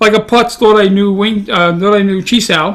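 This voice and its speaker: A man's high-pitched voice with a bright, sharp tone and a Brooklyn accent. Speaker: podcast co-host, martial artist. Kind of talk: casual chat.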